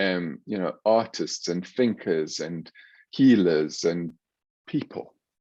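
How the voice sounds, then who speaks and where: A man's very deep, low voice, dark and mellow in tone, with ordinary pitch variation and a very slow pace. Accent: South African. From South Africa. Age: 60s. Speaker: psychiatrist. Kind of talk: interview.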